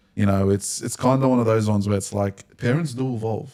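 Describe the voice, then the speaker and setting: Fairly low in pitch, a man with an Australian accent talks at a fairly quick pace with fairly even intonation. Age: 20s. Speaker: podcast host. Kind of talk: casual chat.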